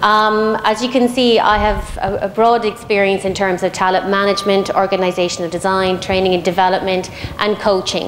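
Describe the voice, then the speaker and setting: Fairly quick, fairly even speech in an Irish accent, with very even loudness, hardly any pauses, and noticeable background noise. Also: woman. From Ireland. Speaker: head of human resources, panelist. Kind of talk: panel debate opening statement. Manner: hesitant, many fillers.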